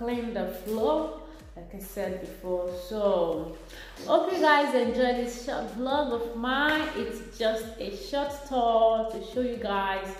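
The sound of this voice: A woman speaks slowly with few pauses at a fairly high pitch and ordinary pitch variation, with audible room echo.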